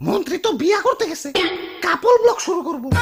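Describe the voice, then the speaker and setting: This cartoonish character voice is extremely high-pitched. It moves along at a fairly quick pace. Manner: excitable.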